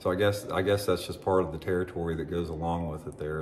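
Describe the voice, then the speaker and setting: The man's voice is very deep and low in pitch. Room echo is audible. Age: 60s. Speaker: former pro bass angler and fishing YouTuber. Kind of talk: opinion monologue to camera. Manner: halting, with many fillers and restarts.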